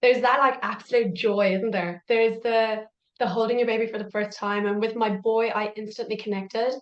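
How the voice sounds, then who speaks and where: A woman speaks with an Irish accent at a fairly high pitch. Her pace is fairly quick and her intonation monotone and flat. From Ireland. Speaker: parent coach. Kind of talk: podcast interview.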